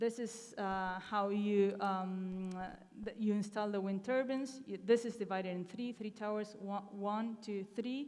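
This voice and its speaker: A woman with an Argentinian accent, medium in pitch, fairly slow and fairly even in intonation, with audible room echo. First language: Spanish. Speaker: conference speaker, renewable energy professional. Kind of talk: conference talk with slides. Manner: hesitant, many fillers.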